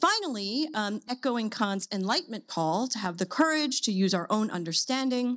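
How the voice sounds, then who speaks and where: Against a quiet background, a woman with a fairly high voice talks at a moderate pace, her pitch swinging very widely. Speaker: philosophy professor. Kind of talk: academic lecture. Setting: stage with audience. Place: stage. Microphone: podium.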